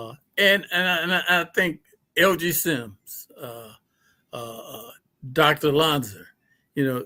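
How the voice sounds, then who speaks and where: A man speaks at a very slow pace with a fairly high pitch. His tone is bright and sharp, and his pitch varies in an ordinary way. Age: 70s. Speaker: fraternity member, community elder. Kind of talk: interview on a live-streamed fireside chat.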